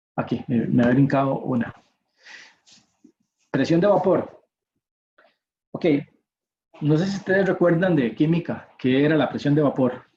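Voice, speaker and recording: Fairly slow and somewhat breathy, a man with a fairly high voice and ordinary pitch variation leaves long, frequent pauses. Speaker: university professor. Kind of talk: lecture.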